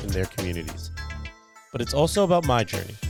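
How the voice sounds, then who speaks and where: A man is speaking. Music plays in the background. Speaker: podcast host. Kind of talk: podcast intro.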